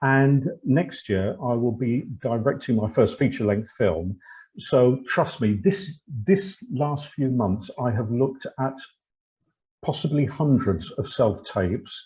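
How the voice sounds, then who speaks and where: A man speaks at a very slow pace, his medium-pitched voice dark, mellow and somewhat breathy. The background stays quiet. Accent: British. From Britain. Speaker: actor and webinar host. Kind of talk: webinar presentation.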